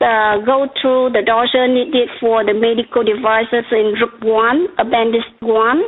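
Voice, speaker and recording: Speaking in a Vietnamese accent, a woman talks at a fairly slow pace with a fairly high pitch, very even loudness and hardly any pauses. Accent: noticeable Vietnamese. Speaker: regulatory consultant presenter. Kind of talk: webcast presentation.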